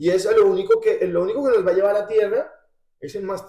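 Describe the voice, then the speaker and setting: The man speaks at a very fast pace. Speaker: rock singer. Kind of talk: interview.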